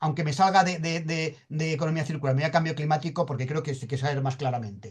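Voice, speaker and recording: Fairly high-pitched and somewhat breathy, a man talks very fast with ordinary pitch variation. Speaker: sustainability expert speaker. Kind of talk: conference presentation. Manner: halting, repeats words.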